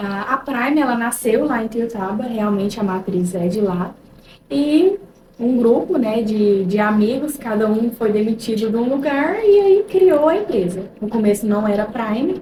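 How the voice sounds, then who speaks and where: A woman's fairly high voice in a mineiro accent, lively in intonation and fairly slow in pace, over noticeable background noise. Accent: mineiro (Minas Gerais), still noticeable. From Minas Gerais, Brazil (Ituiutaba). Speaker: real estate consultant. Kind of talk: casual interview chat.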